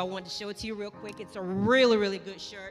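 A very fast pace and a warm, enthusiastic tone with a slight Turks and Caicos accent, plus faint music in the background. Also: woman. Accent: slight Turks and Caicos Islands. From Turks and Caicos Islands. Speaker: pastor's wife greeting a church congregation. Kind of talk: sermon greeting and announcement. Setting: church stage. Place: church. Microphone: handheld.

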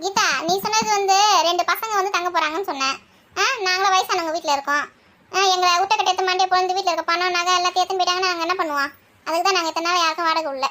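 A cartoonish character voice rattles along at a very fast pace, its loudness very even and its intonation fairly even. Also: woman, extremely high pitch for a woman.

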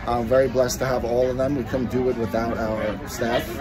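A man's voice with crowd noise in the background. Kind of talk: interview answer. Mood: friendly, promotional. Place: street. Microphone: phone near.

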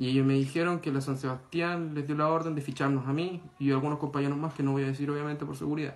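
A man with a fairly high voice talks at a very fast pace with hardly any pauses. His intonation stays monotone and flat. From Chile. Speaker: student activist. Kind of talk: testimony. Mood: serious, subdued. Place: home room. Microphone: phone near.

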